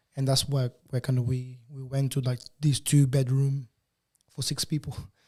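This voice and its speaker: This man speaks at medium pitch and a moderate pace, with flat, monotone intonation. His tone is dark and mellow, and somewhat breathy. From Portugal (Lisbon), born in Angola. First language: Portuguese. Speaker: photographer. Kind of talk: casual interview chat. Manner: halting, many fillers and repetitions.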